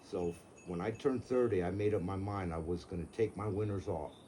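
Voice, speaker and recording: A man speaks at a very deep, low pitch in a dark, mellow, somewhat breathy tone. Long pauses come often. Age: 70s. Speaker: car seller, retired contractor. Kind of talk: casual chat. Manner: casual, swears.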